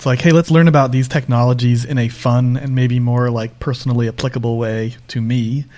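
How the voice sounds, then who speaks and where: This is an unremarkable speaking voice from a man with an American accent and a medium pitch. He moves at a fairly quick pace with hardly any pauses and fairly even intonation. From Northeast US. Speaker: podcast host, developer advocate. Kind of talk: casual interview conversation. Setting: remote podcast recording.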